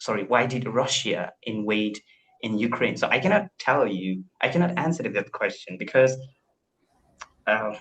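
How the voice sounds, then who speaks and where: In an Indian accent, a man speaks at a moderate pace. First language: Indian language. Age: 20s. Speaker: English learner. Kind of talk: casual chat.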